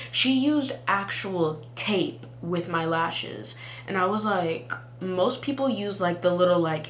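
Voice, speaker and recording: A woman's medium-pitched voice with an American accent, at a fairly slow pace, over noticeable background noise. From Texas. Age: young. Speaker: college student. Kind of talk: storytime talk to camera. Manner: casual, chatty.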